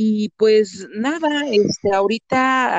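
With a Mexican accent, a woman speaks at a fairly high pitch in a dry, close sound with no echo. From Veracruz, Mexico. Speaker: actress and voice-over artist. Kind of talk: casual interview. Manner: animated.

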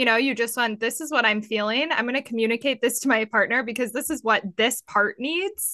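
Her bright, sharp tone and high pitch carry at a fairly quick pace with hardly any pauses and ordinary pitch variation, as this woman is heard in a dry, close sound with no echo. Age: young. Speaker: life coach. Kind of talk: casual chat.

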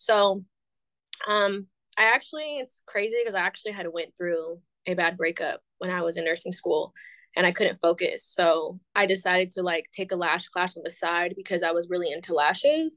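In an American accent, a woman of medium pitch speaks at a moderate pace with ordinary pitch variation. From San Francisco Bay Area, California. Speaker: beauty business owner. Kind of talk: casual chat.

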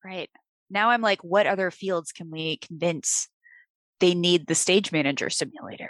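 A woman with an American accent speaks in an ordinary speaking voice, fairly low-pitched with ordinary pitch variation and big swings in loudness. The sound is dry and close with no echo, the background is quiet, and her pace is moderate. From US Midwest, Illinois. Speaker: podcast host. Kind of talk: interview conversation.

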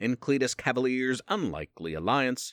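With lively intonation, the text is read aloud in a natural voice.

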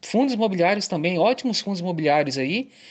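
The speaker is a man with a high voice. His intonation is lively. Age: 40s. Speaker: individual investor. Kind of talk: recorded voice message. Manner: halting, many repetitions.

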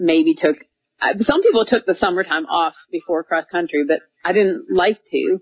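With an American accent, a woman uses an unremarkable speaking voice at medium pitch, a moderate pace and lively intonation. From Minnesota, US Midwest. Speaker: professional cyclist, former runner. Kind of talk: interview.

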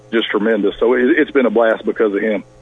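Speech comes at a very fast pace. Noticeable background noise runs underneath. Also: man. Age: 40s. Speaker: college football coach. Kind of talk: interview. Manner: hesitant, repeats words.

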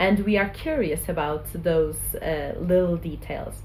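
Audible room echo follows a woman speaking at a fairly slow pace. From Portugal. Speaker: social enterprise co-founder. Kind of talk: interview.

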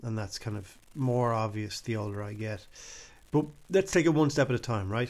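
With an Irish accent, a man talks at a medium pitch and moderate pace, his intonation lively. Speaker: podcast host. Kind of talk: solo commentary monologue. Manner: casual, hesitant with fillers.

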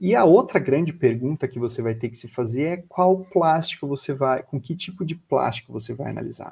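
A man with a fairly high pitch and a dark, mellow tone speaks at a moderate pace with hardly any pauses. His loudness swings widely, while his pitch variation stays ordinary. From Brazil, Florianópolis (Santa Catarina). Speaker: biologist and researcher. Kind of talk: educational talk. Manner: hesitant, with repeated words.

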